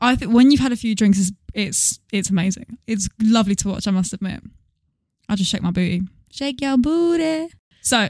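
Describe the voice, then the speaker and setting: A woman speaks with an English accent and lively intonation. Her somewhat breathy voice sounds dry and close, with no echo. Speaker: podcast co-host, former singing teacher. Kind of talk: casual chat. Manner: fast.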